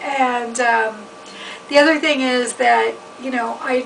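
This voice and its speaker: Over noticeable background noise, a woman with a fairly high pitch talks at a fairly slow pace. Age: 50s. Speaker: chef and writer. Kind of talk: personal testimony. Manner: casual, hesitant with fillers.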